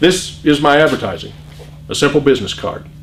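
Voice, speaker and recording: Noticeable background noise runs under a man speaking with an American accent. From US Midwest, Iowa. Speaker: political candidate. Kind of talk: campaign speech.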